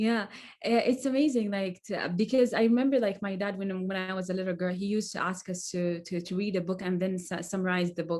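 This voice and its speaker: A woman with an Arabic accent speaks fairly quickly at medium pitch with ordinary pitch variation. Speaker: author. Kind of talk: casual chat. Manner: halting, many fillers and repetitions.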